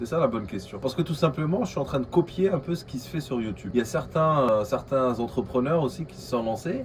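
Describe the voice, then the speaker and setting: A man's medium-pitched voice, fairly quick and lively in intonation, over noticeable background noise. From Algeria. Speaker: vlogger, aspiring entrepreneur. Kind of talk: casual vlog monologue. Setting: coworking space. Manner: hesitant, many fillers.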